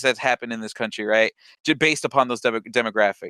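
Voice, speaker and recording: The voice has a bright, sharp tone and ordinary pitch variation, in a dry, close sound with no echo and a very clean recording with a silent background. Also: man. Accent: Midwestern. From US Midwest, Cleveland. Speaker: podcast host. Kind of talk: casual interview chat. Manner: halting, many restarts.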